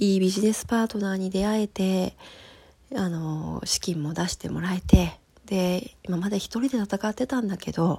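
A dark, mellow, somewhat breathy female voice. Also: medium pitch for a woman, ordinary pitch variation, moderate pace. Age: 30s. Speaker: podcast host, personal coach and metalwork artist. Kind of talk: casual solo talk. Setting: home recording.

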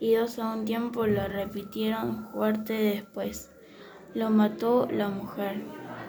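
What you hear is a natural reading voice.

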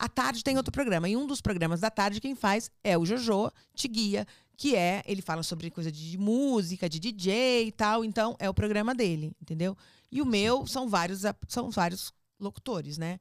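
A woman with a São Paulo accent and lively intonation, in a very clean recording with a silent background and a dry, close sound with no echo. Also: medium pitch for a woman, moderate pace. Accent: São Paulo Brazilian Portuguese. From born in Rio de Janeiro, raised in São Paulo from age 10. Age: 50s. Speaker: radio host. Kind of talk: casual chat. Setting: studio.

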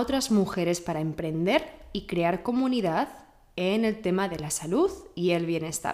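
A woman talks in a Spanish accent at a medium pitch. She goes at a fairly slow pace with lively intonation. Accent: Peninsular Spanish. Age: young. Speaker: podcast host. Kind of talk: interview.

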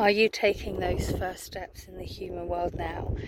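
A woman talking at a moderate pace, with noticeable background noise. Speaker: spiritual wellbeing coach. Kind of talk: casual vlog with oracle card reading. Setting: outdoors on a beach.

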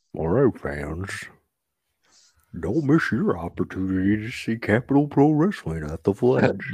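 In a put-on character voice, a man with a fairly low pitch swings his pitch very widely, keeping a moderate pace with long, frequent pauses against a quiet background. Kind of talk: ring announcer, promotional.

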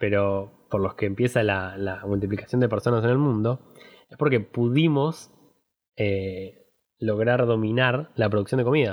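A man speaks at a medium pitch in a plain, everyday voice, with ordinary pitch variation and big swings in loudness. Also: fairly slow pace. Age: 20s. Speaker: podcast host. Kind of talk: casual chat.

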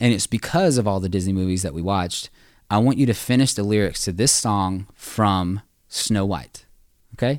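A man with an American accent has a normal speaking voice at a fairly low pitch. He keeps a moderate pace and ordinary pitch variation in a very clean recording with a silent background. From US South. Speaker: church staff member. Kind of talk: casual chat.

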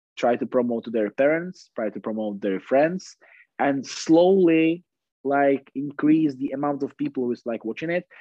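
A man speaks at a moderate pace with a Czech accent. His pitch is fairly high, with ordinary variation. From Czech Republic. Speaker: floorball player. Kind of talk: casual chat. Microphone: poor sound quality.

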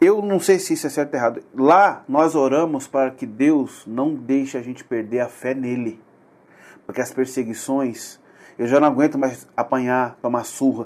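The man has a normal speaking voice at medium pitch, with ordinary pitch variation and a moderate pace. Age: 40s. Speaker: podcast host. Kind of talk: casual chat.

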